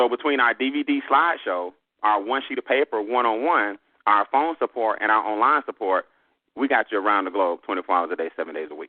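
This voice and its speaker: The speaker uses an animated tone and a very fast pace in a Southern US accent. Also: man, medium pitch for a man. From US South. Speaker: business trainer. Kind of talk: sales pitch.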